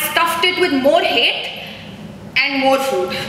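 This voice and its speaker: A woman with a high pitch talks at a moderate pace in a raised, projected voice with fairly even intonation. Noticeable background noise runs underneath. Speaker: poet. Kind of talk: live poetry performance. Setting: live event at an art gallery.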